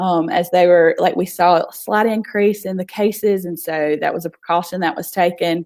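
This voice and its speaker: The speech comes in a Southern US accent with monotone, flat intonation. It moves at a moderate pace with hardly any pauses. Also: woman, fairly low pitch for a woman. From US South. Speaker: nonprofit founder. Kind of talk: casual interview. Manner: halting.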